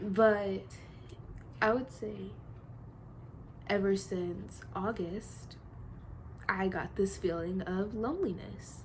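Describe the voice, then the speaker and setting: Audible room echo surrounds a woman's voice. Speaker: vlogger. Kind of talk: personal vlog confession. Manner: halting.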